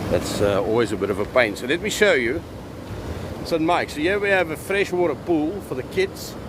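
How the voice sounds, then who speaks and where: A man talks at a fairly quick pace with very wide pitch swings. Noticeable background noise runs underneath. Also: fairly high pitch for a man. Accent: South African. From South Africa. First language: Afrikaans. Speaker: live streamer. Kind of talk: live stream commentary. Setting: outdoors at the beach. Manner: casual.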